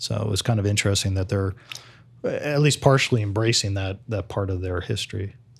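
At a fairly quick pace, a somewhat breathy man with an American accent speaks at a fairly low pitch with ordinary pitch variation. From New Jersey. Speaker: author and crime historian. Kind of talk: interview.

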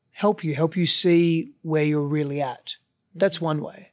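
An Australian accent with fairly even intonation in a very clean recording with a silent background. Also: man. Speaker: relationship coach, host's husband. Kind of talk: casual chat. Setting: recording while traveling, mic on a chair.

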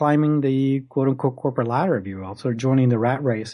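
This man's fairly high voice has a dark, mellow tone, ordinary pitch variation and a fairly quick pace. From Puerto Rico (San Juan). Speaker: wildlife photographer and workshop instructor. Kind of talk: interview. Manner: halting, many repetitions.

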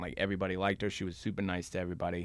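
With an American accent, a man speaks at a fairly low pitch. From South Boston, Massachusetts. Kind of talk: casual chat. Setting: studio.

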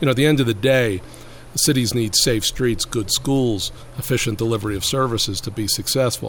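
A man with an American accent, medium pitch, ordinary pitch variation and a fairly quick pace, over noticeable background noise. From Brooklyn, New York. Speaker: urban policy expert. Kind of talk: interview.

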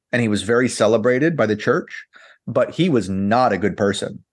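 Against a quiet background, a man with an American accent talks at a moderate pace in an unremarkable speaking voice of medium pitch. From US South. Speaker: portrait photographer. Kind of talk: casual chat.

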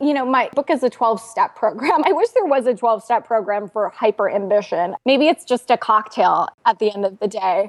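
At a moderate pace and with hardly any pauses, a woman speaks in an ordinary speaking voice, fairly high in pitch, with lively intonation, very even loudness and a dry, close sound with no echo. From United States, first-generation immigrant family. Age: 30s. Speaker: financial journalist and author. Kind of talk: interview.

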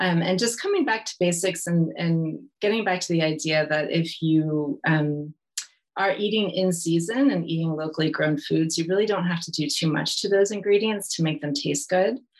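In an American accent, a woman speaks at a fairly low pitch. Her pace is moderate, with ordinary pitch variation. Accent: American accent, though living in UK. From California, US. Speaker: nutrition educator, recipe developer, book co-author. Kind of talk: casual interview chat.

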